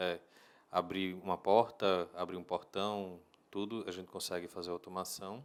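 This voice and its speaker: In a northeastern Brazilian accent, a man speaks at a very deep, low pitch with monotone, flat intonation. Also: moderate pace. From Brazil, Natal (Rio Grande do Norte). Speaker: home automation business owner. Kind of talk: interview.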